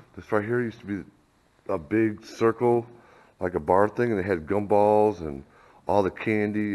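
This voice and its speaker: A man with a fairly low pitch and fairly even intonation at a moderate pace. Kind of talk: casual vlog chat. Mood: nostalgic. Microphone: phone near.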